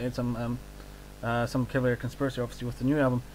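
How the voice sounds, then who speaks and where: Speaking at a very fast pace in a New Zealand accent, a man with a medium-pitched voice comes through on a very clean recording with a silent background. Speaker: radio host. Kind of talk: interview. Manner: hesitant, many fillers.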